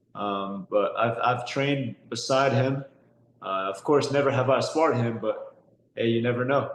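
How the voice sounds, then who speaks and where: Amid noticeable background noise, a man with an American accent talks at a moderate pace and medium pitch, with ordinary pitch variation. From San Diego, California, US. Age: 20s. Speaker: professional boxer. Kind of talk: interview. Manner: repeats words, hesitant.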